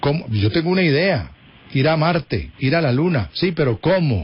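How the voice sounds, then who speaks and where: The voice is somewhat breathy, with very wide pitch swings and a fairly slow pace. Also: man. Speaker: radio host. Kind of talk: radio interview.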